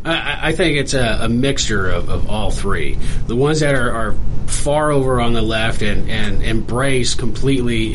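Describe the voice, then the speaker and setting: With noticeable background noise behind him, a man of medium pitch speaks at a fairly slow pace with ordinary pitch variation. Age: 30s. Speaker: law student, army veteran. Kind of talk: radio interview, conversational guest. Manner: casual, candid, conversational.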